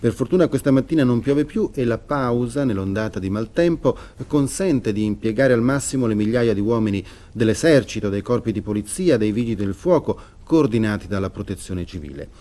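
With a dark, mellow tone and lively intonation, a man talks at a fairly quick pace. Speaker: newscast anchor. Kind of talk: 1980s TV newscast reading, formal scripted headlines. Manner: formal, measured, crisp and authoritative. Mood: serious, measured. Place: studio.

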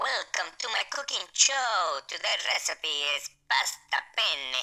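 A put-on character voice carries an Italian accent as part of the act. It moves at a fairly slow pace. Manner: exaggerated, jokey, deliberately bad.

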